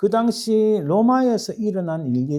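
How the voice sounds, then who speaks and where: A man's voice has a dark, mellow tone. His pitch swings very widely. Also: quiet background. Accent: strong Gyeongsang. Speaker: pastor. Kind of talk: sermon. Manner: halting, many self-corrections.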